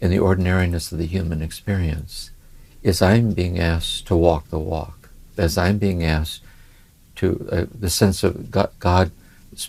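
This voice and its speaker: At a fairly slow pace, a man with a Midwestern accent speaks in a very deep, low, somewhat breathy voice with fairly even intonation. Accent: American Midwest. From US Midwest, Ohio. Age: 70s. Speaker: spiritual teacher. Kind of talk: conversational interview. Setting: home study. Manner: reflective, with many hesitations.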